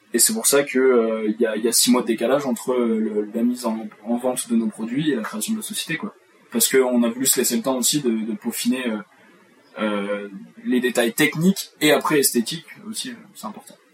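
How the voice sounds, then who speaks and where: A man at a medium pitch with ordinary pitch variation, a fairly quick pace and long, frequent pauses, amid noticeable background noise. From France, Charente. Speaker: company co-founder, podcast co-host. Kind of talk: casual chat. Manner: halting, many repetitions.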